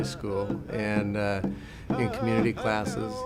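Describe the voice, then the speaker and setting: Music plays behind a man with an American accent who speaks at a fairly low pitch. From Western Oregon, USA. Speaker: language and traditional arts instructor. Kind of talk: interview answer.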